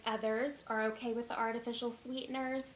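A woman talks at a fairly quick pace in a normal speaking voice, her pitch fairly high. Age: 20s. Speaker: dietitian. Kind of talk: interview.

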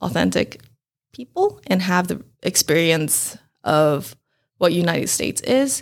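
This woman's fairly low voice moves through very wide pitch swings. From Taiwan (Taipei). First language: Mandarin. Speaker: food blogger and event organizer. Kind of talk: interview.

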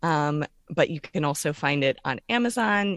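Over a quiet background, a woman with an American accent speaks with a very deep, low pitch and vocal fry in a dry, close sound with no echo. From Florida, Orlando. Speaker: author and university teacher. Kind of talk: interview.

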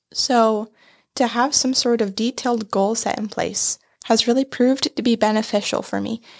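A woman talks at a moderate pace in a fairly high voice with monotone, flat intonation. The recording is very clean and dry, close with no echo and a silent background. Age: young. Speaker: digital media specialist. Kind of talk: casual chat.

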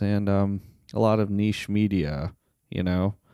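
In a very clean recording with a silent background, a man with an American accent speaks at a fairly low pitch in a dark, mellow tone. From Las Vegas, Nevada. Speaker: podcast co-host. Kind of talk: personal storytelling monologue. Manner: halting, stammering.

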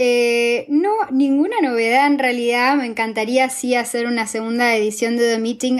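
This woman has a normal speaking voice with a fairly high pitch. She talks at a fairly slow pace with fairly even intonation. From Argentina. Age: 20s. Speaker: fashion podcast host and blogger. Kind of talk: casual interview.

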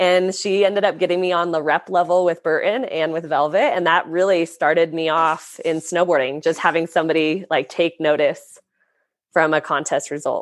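Over a quiet background, a normal speaking voice moves at a moderate pace with fairly even intonation. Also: woman, fairly low pitch for a woman. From US West, Lake Tahoe, California. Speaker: professional snowboarder. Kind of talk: casual interview chat.

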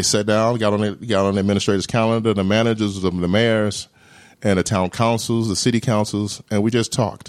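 With an American accent, a man talks at a fairly quick pace in a fairly low pitch. His intonation stays monotone and flat, and his loudness is very even. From US South, Jackson, Mississippi. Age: 40s. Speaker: state veterans affairs director, Navy veteran. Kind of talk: interview conversation.

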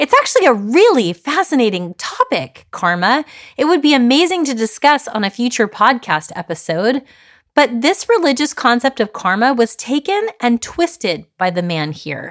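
A woman's high voice with very wide pitch swings at a moderate pace, dry and close with no echo. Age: 40s. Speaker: life coach and podcast host. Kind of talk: solo monologue podcast, storytelling.

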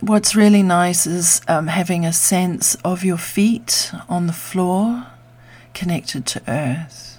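A woman speaks very slowly in a soothing, gentle tone at a fairly low pitch. Her voice is somewhat breathy, with ordinary pitch variation. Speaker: meditation guide. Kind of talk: guided meditation. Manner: slow, soothing and gentle; calm and unhurried, with long pauses.

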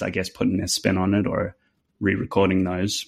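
A man with a New Zealand accent speaks at a moderate pace in a very deep, low pitch. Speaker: fiddle player. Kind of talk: interview, podcast chat.

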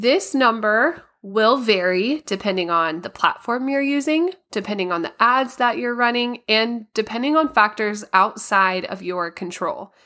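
A woman's fairly high, bright, sharp voice, fairly slow pace with hardly any pauses, lively intonation, very clean recording with a silent background. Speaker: podcast host. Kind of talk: educational podcast talk. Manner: informative, instructional.

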